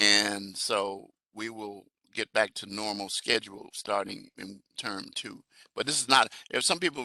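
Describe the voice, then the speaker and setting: Speaking fairly slowly, a man with an American accent has a bright, sharp tone. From Chicago. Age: 70s. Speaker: professor. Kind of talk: online class introductions. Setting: video call. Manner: halting.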